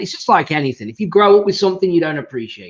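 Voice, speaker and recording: Speaking with an English accent, a man uses ordinary pitch variation. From England. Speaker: podcast host. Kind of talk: casual interview chat.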